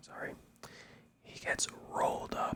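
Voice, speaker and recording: Amid noticeable background noise, a man speaks in a whisper. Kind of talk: ASMR wrestling show review, whispered talk to camera. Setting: home-recorded microphone, mono audio. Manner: whispered.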